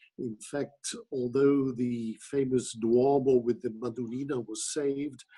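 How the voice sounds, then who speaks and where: In a dark, mellow tone, a man speaks at a medium pitch and a fairly slow pace with monotone, flat intonation. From Italy, Milan. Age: 70s. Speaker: opera director and teacher. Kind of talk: interview.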